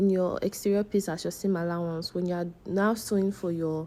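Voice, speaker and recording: Her voice is dark and mellow, and this woman speaks at a medium pitch. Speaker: sewing instructor. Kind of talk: tutorial. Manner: hesitant, many fillers.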